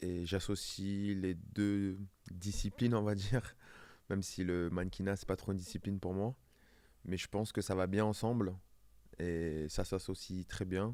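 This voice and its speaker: A man with a fairly low, dark, mellow voice speaks at a fairly slow pace in a monotone, flat intonation. He leaves long, frequent pauses, and the recording is very clean with a silent background. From southern France, Var. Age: 30s. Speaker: professional dancer and model. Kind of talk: casual interview.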